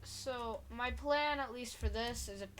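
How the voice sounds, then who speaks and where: Soft-spoken delivery at a fairly slow pace, with audible room echo and noticeable background noise. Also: woman. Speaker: gaming video creator. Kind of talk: gameplay commentary. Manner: quiet, soft-spoken; halting, stuttering.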